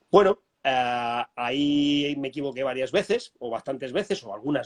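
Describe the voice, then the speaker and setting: A man is speaking. The sound is dry and close with no echo. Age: 60s. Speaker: business trainer and author. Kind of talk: interview conversation. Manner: halting, many false starts.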